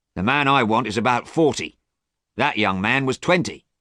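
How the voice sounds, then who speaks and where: A man's raspy, put-on character voice at medium pitch, moderate pace, quiet background. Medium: read story.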